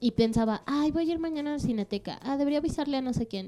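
Speaking at a very fast pace, a woman with a dark, mellow tone uses ordinary pitch variation. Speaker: podcast co-host. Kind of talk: casual chat.

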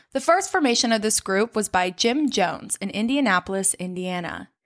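The recording is very clean and the background silent. An ordinary speaking voice, with lively intonation, keeps a moderate pace. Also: woman. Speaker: true crime podcast host. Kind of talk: casual chat with storytelling. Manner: casual, conversational.

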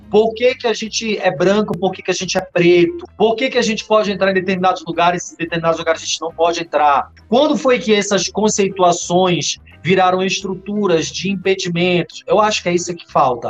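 Music plays behind a man with a high pitch. He speaks with hardly any pauses. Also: ordinary pitch variation, fairly quick pace. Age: 40s. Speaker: journalist. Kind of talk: casual interview.

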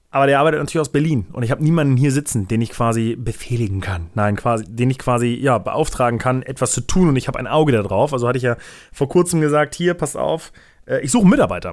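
With lively intonation and a medium pitch, a man talks at a very fast pace. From Germany, Braunschweig. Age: 20s. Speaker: content creator. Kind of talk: casual solo podcast monologue. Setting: office.

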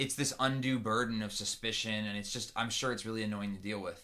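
The man's voice sits at medium pitch with a bright, sharp tone. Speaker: podcast host. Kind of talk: casual chat.

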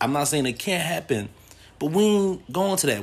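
His pitch swings very widely as this man speaks. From United States. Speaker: podcast host. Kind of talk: monologue.

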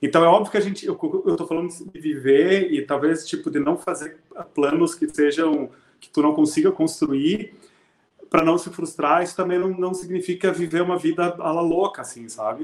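A man's high-pitched voice at a moderate pace, with fairly even intonation and big swings in loudness. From southern Brazil, Rio Grande do Sul interior. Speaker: music teacher and music school owner. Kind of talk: casual interview chat. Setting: live stream.

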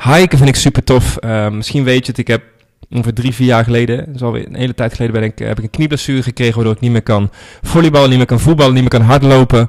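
Talking very fast, a man comes through with a dry, close sound and no echo. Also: medium pitch for a man, fairly even intonation. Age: 30s. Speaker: podcast host, online marketing entrepreneur. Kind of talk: solo reflective monologue. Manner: casual, with many filler words.

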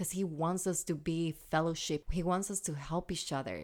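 Fairly low-pitched woman with an animated tone and ordinary pitch variation. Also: very clean recording, silent background. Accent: Puerto Rican. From Puerto Rico. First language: Spanish. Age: 30s. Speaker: podcast host. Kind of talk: casual chat. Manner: animated, excitable.

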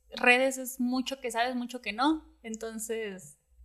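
With music in the background, a woman speaks at a very slow pace with high pitch and fairly even intonation. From Mexico, Puerto Vallarta. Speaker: dentist. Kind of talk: casual chat.

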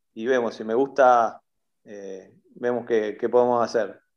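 Speaking at a fairly slow pace, this man has a Rioplatense accent. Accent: Argentine Rioplatense Spanish. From Argentina, Bahía Blanca. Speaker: metal musician. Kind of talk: interview.

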